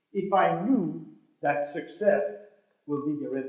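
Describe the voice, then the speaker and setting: Audible room echo surrounds a man speaking at a high pitch. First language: French. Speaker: motivational speaker. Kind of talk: motivational speech. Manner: animated.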